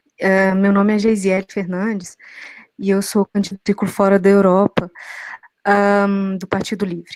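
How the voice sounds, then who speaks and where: A woman talks at a fairly slow pace and medium pitch. Her intonation is monotone and flat, with a dry, close sound and no echo. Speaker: political candidate. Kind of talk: candidate self-introduction.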